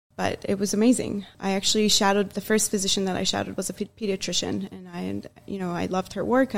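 A woman is speaking. She goes at a very fast pace. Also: big swings in loudness. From Iran. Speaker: pediatrics resident physician. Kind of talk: interview conversation.

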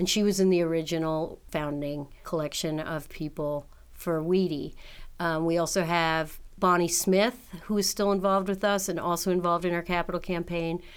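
The speaker has a normal speaking voice and an American accent. Intonation is fairly even, the pace is moderate, and the recording is very clean with a silent background. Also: woman, fairly low pitch for a woman. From New York City. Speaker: nonprofit director. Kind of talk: interview.

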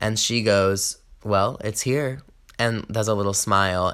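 In an American accent, a man with a fairly low pitch and a bright, sharp tone speaks at a fairly slow pace with fairly even intonation. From US South, Georgia. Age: 20s. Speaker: podcast host, performer and songwriter. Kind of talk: casual solo podcast monologue.

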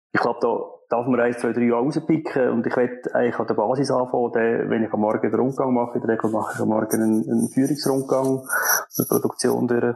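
Over noticeable background noise, a man talks at a very fast pace in a medium pitch, with monotone, flat intonation and very even loudness. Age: 40s. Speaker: production manager. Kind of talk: interview.

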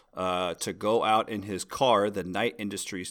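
At a moderate pace, a man with an American accent speaks in a bright, sharp tone. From US Midwest. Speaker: podcast co-host. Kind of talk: casual chat.

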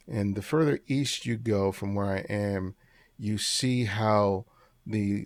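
This man speaks with an American accent at a fairly slow pace, his pitch fairly low. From Los Angeles (South LA), Dominican family. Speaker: street photographer and teacher. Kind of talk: interview conversation.

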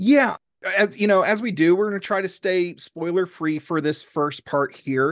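A man speaks in a high pitch with ordinary pitch variation, the sound dry and close with no echo. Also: moderate pace. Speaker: podcast host and comedian. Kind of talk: casual chat, comedy podcast interview.

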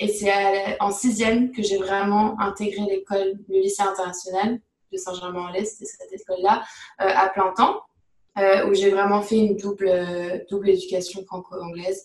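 Monotone, flat intonation carries through speech at a moderate pace. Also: woman, medium pitch for a woman. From France, Paris region. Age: 20s. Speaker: neuroscience graduate student. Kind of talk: interview.

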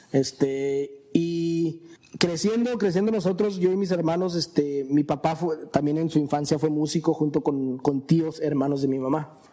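Over music in the background, a man with a fairly high voice speaks at a fairly slow pace with hardly any pauses and ordinary pitch variation. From Mexican-born, raised in the US from age 4. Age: 30s. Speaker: musician and entrepreneur. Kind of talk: casual chat over drinks.

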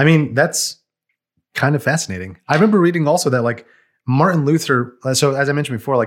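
This is a man's normal speaking voice, fairly high in pitch, in an American accent. The recording is very clean with a silent background, and his pitch varies in an ordinary way. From Brooklyn, New York City. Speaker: podcast co-host. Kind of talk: casual chat.

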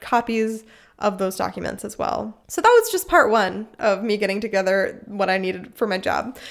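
Speaking fairly quickly at a fairly high pitch, a woman has an ordinary speaking voice on a very clean recording with a silent background. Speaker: podcast host. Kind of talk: casual chat.

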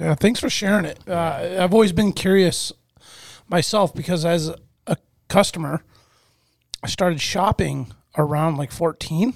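With a dry, close sound and no echo, a man speaks high-pitched at a moderate pace with ordinary pitch variation and long, frequent pauses. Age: 30s. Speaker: podcast co-host. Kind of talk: casual chat.

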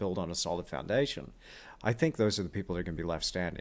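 A man speaks with lively intonation. The recording is very clean, with a silent background. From Australia (Perth), born in Texas. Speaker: podcast host and artist. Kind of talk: casual interview chat; scripted outro.

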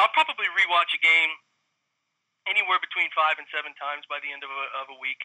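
With a Midwestern American accent and a fairly high pitch, a man talks at a very fast pace broken by long, frequent pauses, his intonation fairly even and his loudness swinging widely. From Central Ohio. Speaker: football film analyst, former college quarterback. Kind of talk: casual interview.

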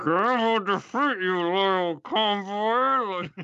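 In a put-on character voice, the speaker talks with a fairly high pitch and a very slow pace. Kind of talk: menacing. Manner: speaking through gritted teeth.

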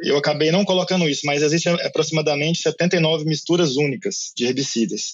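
Pitched fairly high, this man has an unremarkable speaking voice whose pitch varies in an ordinary way. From Brazil, Minas Gerais. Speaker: agronomist and university professor. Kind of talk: interview about herbicides.

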